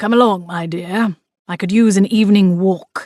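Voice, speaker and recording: The speaker uses a put-on character voice at a middle pitch. The pace is moderate. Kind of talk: period aristocratic speech. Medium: read story. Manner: formal, stuffy.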